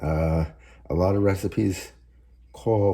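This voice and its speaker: Quiet and somewhat breathy, a man's dark, mellow voice moves with ordinary pitch variation over a very clean recording with a silent background. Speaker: home cooking channel host. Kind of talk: cooking tutorial. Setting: home kitchen, early morning. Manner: speaking low and quiet; halting, many fillers.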